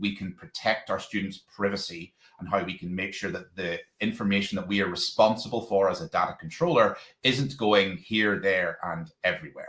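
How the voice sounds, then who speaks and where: Delivered at a fairly quick pace, the speech has lively intonation and a Northern Irish accent. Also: man. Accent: Northern Irish twang. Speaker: education technology presenter, former local authority digital lead. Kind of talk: webinar presentation. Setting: online webinar. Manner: hesitant, many fillers and repeated words.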